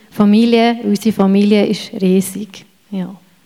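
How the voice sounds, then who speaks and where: Noticeable background noise sits under a woman's fairly high voice. Her intonation is monotone and flat. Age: 40s. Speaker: church member. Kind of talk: testimony.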